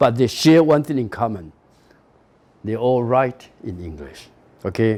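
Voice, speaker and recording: Speaking in a Taiwanese accent at a fairly slow pace, a man with a dark, mellow tone uses lively intonation, big swings in loudness, and long, frequent pauses. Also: medium pitch for a man. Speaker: university professor. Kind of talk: lecture.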